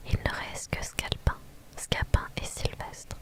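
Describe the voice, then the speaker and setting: A woman whispers at a very slow pace. There is noticeable noise in the background. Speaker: ASMR content creator. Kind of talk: dramatic reading of a classic play, all parts by one reader. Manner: whispered, soft-spoken.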